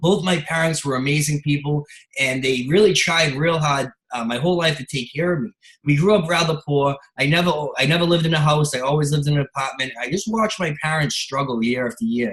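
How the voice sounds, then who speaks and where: A man talks at a very fast pace with an American accent. His pitch is fairly high. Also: ordinary pitch variation. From Boston, Massachusetts. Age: 30s. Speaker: entrepreneur. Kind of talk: sales pitch.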